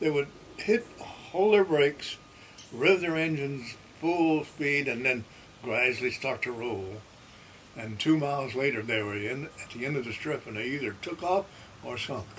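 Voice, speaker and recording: A man with a fairly high pitch speaks at a moderate pace, his intonation lively. Long, frequent pauses break up his speech over noticeable background noise. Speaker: World War II navy veteran. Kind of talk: interview answer.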